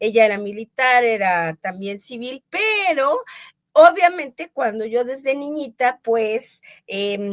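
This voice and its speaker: Recorded dry and close with no echo, a woman with a fairly high pitch and an ordinary speaking voice talks at a fairly slow pace with lively intonation. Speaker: radio announcer and voice actress. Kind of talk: interview answer.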